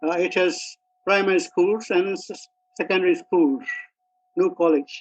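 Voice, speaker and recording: The speaker is a man with a Burmese accent. His pitch is high. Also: ordinary pitch variation, moderate pace. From Myanmar, Kyaukse near Mandalay. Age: 80s+. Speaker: retired mining engineer. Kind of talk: interview. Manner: halting, with many fillers.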